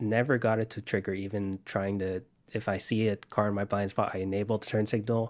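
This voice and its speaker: In a very clean recording with a silent background, a man with an unremarkable speaking voice talks at a fairly quick pace and a fairly low pitch. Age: 20s. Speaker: software developer and electric car owner. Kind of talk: interview.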